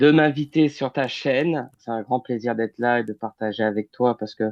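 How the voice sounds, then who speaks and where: Recorded dry and close with no echo, a man of medium pitch speaks at a moderate pace with ordinary pitch variation. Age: 30s. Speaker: medium and healer. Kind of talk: interview. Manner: hesitant, many fillers.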